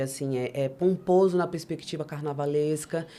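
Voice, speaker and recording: Moving at a moderate pace, a woman speaks in a dark, mellow tone with ordinary pitch variation. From Maranhão, Brazil, raised largely in Brasília outskirts. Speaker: rapper and performer. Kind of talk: interview.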